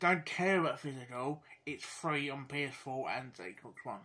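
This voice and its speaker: A man talks with a British accent. His pitch is fairly high and his intonation fairly even. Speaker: gaming YouTuber. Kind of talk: casual video commentary. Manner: halting, many fillers; mumbling.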